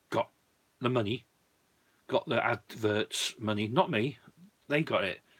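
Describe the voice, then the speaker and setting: The speaker is a man with a British accent. He talks with lively intonation. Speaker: YouTuber, disc collector. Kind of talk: live stream chat.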